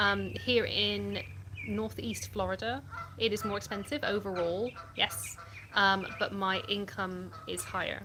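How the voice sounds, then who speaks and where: A woman talks with a Yorkshire accent. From Yorkshire, England. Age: 30s. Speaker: livestreamer. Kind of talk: casual chat. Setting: live stream. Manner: chatty.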